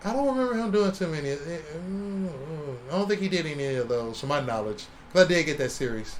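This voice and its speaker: Room echo is audible as a man with a fairly high pitch speaks at a fairly quick pace, his pitch swinging very widely. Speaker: comic artist podcast co-host. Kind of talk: casual chat. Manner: fast.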